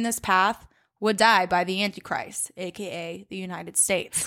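Her ordinary speaking voice, a woman's at a medium pitch, shows ordinary pitch variation. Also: very clean recording, silent background. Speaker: true crime podcast host. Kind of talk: casual chat with storytelling. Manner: casual, conversational.

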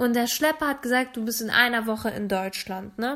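A woman speaks in a fairly high pitch with ordinary pitch variation. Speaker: podcast co-host. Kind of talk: casual chat. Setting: late-night home recording after iftar.

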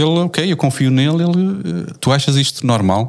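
Here a man has an unremarkable speaking voice. He talks at a moderate pace with lively intonation. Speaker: podcast moderator. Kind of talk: casual chat.

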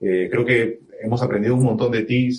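A man talks at a fairly quick pace in a plain, everyday voice. His pitch sits in the medium range. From Peru, Trujillo. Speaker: podcast host and musician. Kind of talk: casual interview over live video stream.

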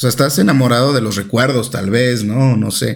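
Somewhat breathy, a man speaks at a medium pitch and a moderate pace, with ordinary pitch variation. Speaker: podcast co-host. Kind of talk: casual chat.

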